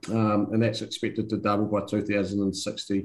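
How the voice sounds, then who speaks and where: With a New Zealand accent, a man delivers his words in a flat monotone at a fairly slow pace, his fairly low voice dark and mellow in tone. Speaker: country manager at a construction technology company. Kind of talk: interview. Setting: video call. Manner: halting, many fillers.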